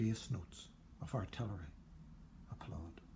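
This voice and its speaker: A man talks at a fairly slow pace, his voice somewhat breathy and his intonation lively. Light background noise sits under him. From Northern Ireland. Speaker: poet. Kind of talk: poem reading, performed. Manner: measured, literary delivery; formal. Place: home room. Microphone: phone near.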